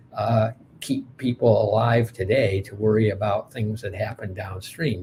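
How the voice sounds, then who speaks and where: A man with an American accent speaks at a fairly slow pace in a somewhat breathy voice of medium pitch. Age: 60s. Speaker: pediatrician and anthropologist. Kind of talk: lecture. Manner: halting, many fillers.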